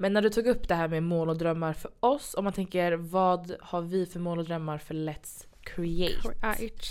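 A woman with an unremarkable speaking voice talks at a moderate pace with hardly any pauses, her pitch fairly low and her pitch variation ordinary. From Sweden. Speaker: podcast host. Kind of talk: casual chat.

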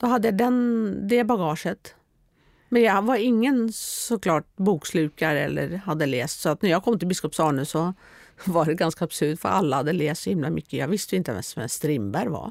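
Showing vocal fry, a woman with a fairly low pitch speaks at a moderate pace with very wide pitch swings, in a very clean recording with a silent background and a dry, close sound with no echo. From Norway. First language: Norwegian (speaking Swedish). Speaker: author. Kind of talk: interview.

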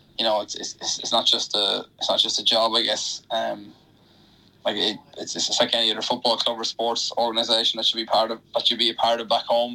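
A man with a Wexford Irish accent speaks at a fairly quick pace. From Ireland, County Wexford. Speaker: professional athlete. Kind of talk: radio interview. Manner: halting, many fillers.

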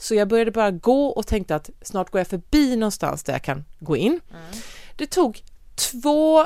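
Very wide pitch swings from a woman at a fairly slow pace. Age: 40s. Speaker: podcast host. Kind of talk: casual chat.

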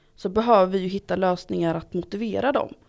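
A woman's fairly low voice with ordinary pitch variation, in a very clean recording with a silent background. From Gothenburg, Sweden. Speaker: local politician, education committee. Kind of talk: interview.

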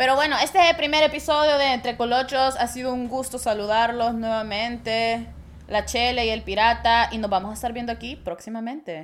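High-pitched woman with a Salvadoran accent at a fairly quick pace, ordinary pitch variation. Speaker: podcast co-host. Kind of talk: casual chat.

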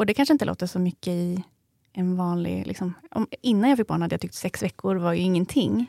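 Very clean recording, silent background: a woman speaks at a fairly quick pace in a dark, mellow tone, with a dry, close sound and no echo. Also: medium pitch for a woman, lively intonation. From Sweden, Eskilstuna. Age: 30s. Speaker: new mother, podcast guest. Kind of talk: interview, personal story.

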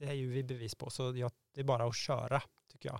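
A man with a medium-pitched, ordinary speaking voice talks at a moderate pace. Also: very clean recording, silent background. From Sweden, Värmland (Degerfors). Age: 40s. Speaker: prospective parent via surrogacy. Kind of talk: interview.

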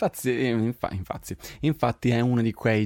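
A man with a Swedish accent and a dark, mellow tone, at a fairly slow pace, in a very clean recording with a silent background and a dry, close sound with no echo. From Sweden. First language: Swedish (speaking Italian). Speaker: podcast host. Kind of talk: casual chat. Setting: home recording studio.

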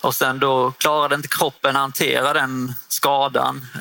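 Over noticeable background noise, a man speaks at a medium pitch in a monotone, flat way. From northern Skåne, Sweden (Osby). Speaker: property management consultant, former footballer. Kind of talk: interview. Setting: studio booth at a trade fair. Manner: halting, many fillers.

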